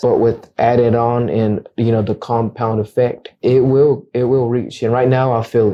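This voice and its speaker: Speaking in a flat monotone, a man with a medium pitch keeps a moderate pace. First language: Akateko, a Mayan language. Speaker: realtor. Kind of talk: casual interview. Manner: halting, with repeated words.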